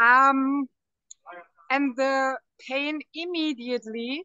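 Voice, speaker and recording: A high-pitched woman's voice, very slow and fairly even in intonation, broken by long, frequent pauses. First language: not English. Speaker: network marketing partner. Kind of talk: testimony. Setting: airport, traveling.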